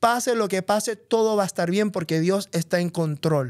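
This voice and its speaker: On a very clean recording with a silent background and a dry, close sound with no echo, a man with a Puerto Rican accent speaks at a moderate pace in a high pitch with ordinary pitch variation. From Puerto Rico. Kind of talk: casual chat.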